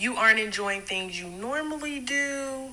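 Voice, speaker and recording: In an American accent, a woman talks at a very slow pace with a fairly high pitch, ordinary pitch variation, and a bright, sharp tone, with audible room echo. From South Carolina, Greenville. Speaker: counselor. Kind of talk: interview answer.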